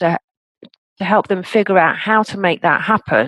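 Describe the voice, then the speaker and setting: A woman speaks with an English accent. The sound is dry and close with no echo. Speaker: coach and author. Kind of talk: interview.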